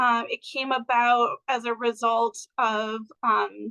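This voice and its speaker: Recorded dry and close with no echo, a woman speaks at a fairly high pitch in a bright, sharp tone with ordinary pitch variation. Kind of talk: webinar presentation. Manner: many filler words (um, uh).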